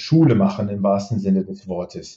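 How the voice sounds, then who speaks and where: A man speaks in a somewhat breathy voice. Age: 50s. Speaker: robotics startup founder. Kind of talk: interview. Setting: remote connection.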